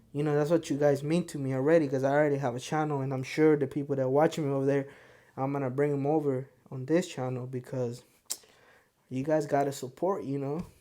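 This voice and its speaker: A man with a Spanish accent and a fairly high pitch talks very fast in a dark, mellow tone with monotone, flat intonation. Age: 20s. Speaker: podcast host. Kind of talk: casual monologue to camera.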